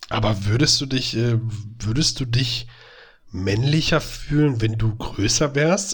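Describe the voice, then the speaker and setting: Very slowly and with very even loudness, a somewhat breathy man at medium pitch speaks with lively intonation. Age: 30s. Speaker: podcast co-host, educator. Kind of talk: casual chat.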